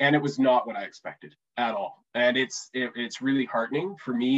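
An unremarkable speaking voice from a man with a Canadian accent, medium pitch and ordinary pitch variation. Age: 30s. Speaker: economic development executive and fiction author. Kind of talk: casual interview.

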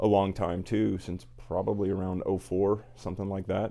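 A man with an American accent speaks at a moderate pace in a very deep, low voice with a dark, mellow tone. His intonation is flat and monotone, and the recording is very clean with a silent background. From Indiana. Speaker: cigar shop owner. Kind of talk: casual interview. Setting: cigar shop.

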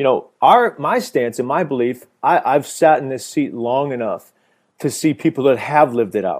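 A man's plain, everyday voice, fairly high in pitch and fairly quick, with ordinary pitch variation, in a very clean recording with a silent background. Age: 30s. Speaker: abstinence ministry worker. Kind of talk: casual chat.

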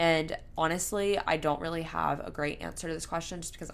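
With an American accent, a woman talks at a fairly quick pace with vocal fry. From US South, Florida Panhandle. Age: 20s. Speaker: podcast host. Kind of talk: solo Q&A monologue. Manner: casual, filler-heavy.

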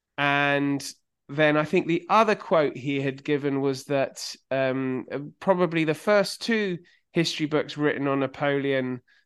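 An ordinary speaking voice from a man, fairly high in pitch and fairly slow, with ordinary pitch variation. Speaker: podcast host and magazine editor. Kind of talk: casual interview chat.

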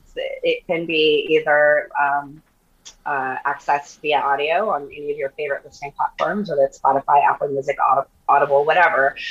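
This woman speaks with an American accent. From US Southwest. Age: 40s. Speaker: model and podcaster. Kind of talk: casual chat. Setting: remote call. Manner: animated.

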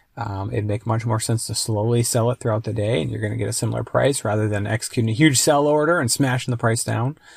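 In a very clean recording with a silent background, a man with a somewhat breathy, medium-pitched voice talks at a very fast pace with hardly any pauses and ordinary pitch variation. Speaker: YouTube precious metals commentator. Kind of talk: solo commentary podcast. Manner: halting with many fillers; rambling.

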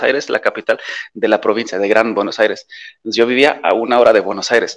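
The speaker talks at a fairly quick pace with a Polish accent. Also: man. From western Germany near the Dutch border. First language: Polish (speaking Spanish). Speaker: expat interviewee. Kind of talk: casual interview. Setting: video call.

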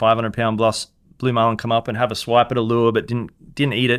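A man speaks at a very fast pace in an Australian accent, his pitch medium. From Queensland, Australia (Hervey Bay / Fraser Island). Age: 40s. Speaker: fishing guide. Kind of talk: interview storytelling.

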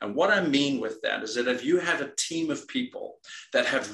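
A man with a Dutch accent talks at a moderate pace, with ordinary pitch variation. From Netherlands. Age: 50s. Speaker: executive coach and military veteran. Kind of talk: interview. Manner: halting, many repetitions.

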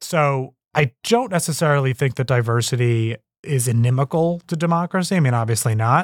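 A man's plain, everyday voice, medium-pitched with an American accent, at a fairly quick pace with ordinary pitch variation and very even loudness, dry and close with no echo, on a very clean recording with a silent background. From United States. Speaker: author and policy analyst. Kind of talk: interview.

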